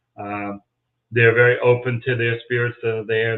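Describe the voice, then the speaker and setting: This man speaks with medium pitch at a fairly quick pace. His intonation is monotone and flat. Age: 60s. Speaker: paranormal investigator and local historian. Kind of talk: interview on a live stream.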